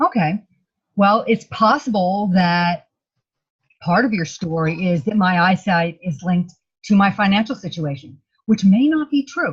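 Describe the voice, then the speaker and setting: Somewhat breathy and medium in pitch, a woman speaks at a moderate pace with lively intonation and long, frequent pauses. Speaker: energy healer. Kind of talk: energy healing session. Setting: video call.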